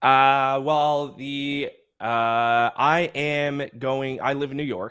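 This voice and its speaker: A man talks in a strong Nova Scotian accent. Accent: Nova Scotian accent, fairly strong. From Nova Scotia, Canada. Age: 20s. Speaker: sports podcast co-host. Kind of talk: casual chat.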